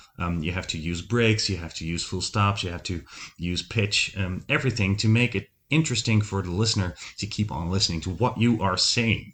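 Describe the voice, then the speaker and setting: A man with a Dutch accent talks at a fairly quick pace. His pitch is fairly low, with ordinary pitch variation. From Netherlands, Breda. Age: 30s. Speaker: podcast host, former radio host. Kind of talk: solo podcast monologue. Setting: home recording setup. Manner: many filler ums.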